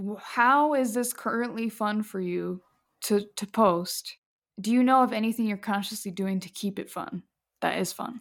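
On a very clean recording with a silent background, a woman with a normal speaking voice talks at a moderate pace, with a fairly high pitch and ordinary pitch variation. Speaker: podcast host. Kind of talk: casual interview.

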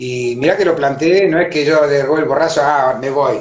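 This man speaks with an Argentine accent. His pitch is fairly high. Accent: Argentine Spanish (rioplatense voseo). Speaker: capoeira teacher. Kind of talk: interview. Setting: Instagram live video call.

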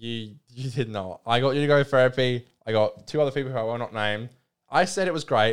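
The speaker has an Australian accent and a fairly quick pace. The recording is very clean, with a silent background. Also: man, medium pitch for a man, ordinary pitch variation. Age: 20s. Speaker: podcast co-host. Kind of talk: casual chat.

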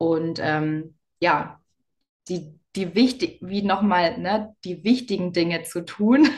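A woman is speaking here. Her pitch is fairly low, with ordinary variation. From Bavaria, Lower Bavaria. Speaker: business coach. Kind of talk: interview.

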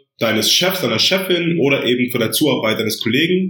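Amid audible room echo, a man speaks in a bright, sharp tone with ordinary pitch variation. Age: 20s. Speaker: psychology master's student. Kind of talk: podcast interview explaining his thesis.

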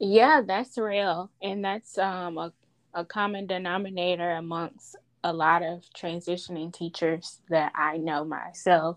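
Delivered at a fairly slow pace, a normal speaking voice holds fairly even intonation. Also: woman, fairly low pitch for a woman. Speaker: podcast host. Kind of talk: interview, casual conversation.

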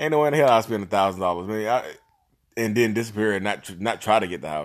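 A man's fairly low voice, lively intonation and an animated tone at a fairly quick pace, on a very clean recording with a silent background. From North Carolina, Reidsville. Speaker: real estate agent. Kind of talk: casual monologue.

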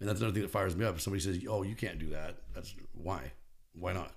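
A man's very deep, low voice with an American accent, very fast and somewhat breathy, with audible room echo. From California (Bakersfield). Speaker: supplement store owner. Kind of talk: casual chat.

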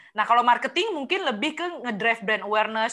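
A bright, sharp voice speaks at a very fast pace with lively intonation. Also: woman. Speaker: podcast co-host, marketing professional. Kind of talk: casual chat.

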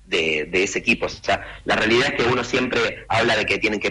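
A man rattles off his words very fast while noticeable background noise plays behind him. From Argentina. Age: 40s. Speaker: youth football academy director. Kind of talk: radio interview.

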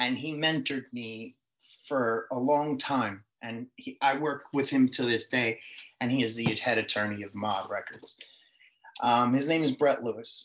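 A man's medium-pitched voice with a New York accent, fairly slow and fairly even in intonation. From New York City (Queens). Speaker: musician and record label head. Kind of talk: interview.

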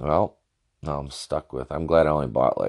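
A man talks with vocal fry. His intonation stays fairly even. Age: 30s. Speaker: podcast host and independent wrestler. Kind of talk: casual solo review and rant. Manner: frequent filler words and self-interruptions.

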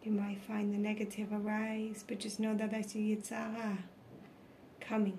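Amid noticeable background noise, a woman speaks in a soothing, calm tone at a fairly high pitch. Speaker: meditation guide. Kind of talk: guided meditation. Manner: slow, soothing and calm.

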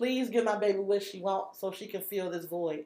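A woman speaks in an ordinary speaking voice. Her pitch is medium, with ordinary variation. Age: 30s. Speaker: guest, single mother of four. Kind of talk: casual chat.

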